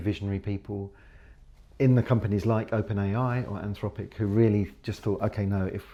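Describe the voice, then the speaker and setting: At a fairly quick pace, a man with a British accent speaks in a fairly low, dark, mellow voice with fairly even intonation against a quiet background. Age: 60s. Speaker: professor, computer scientist. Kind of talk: podcast interview.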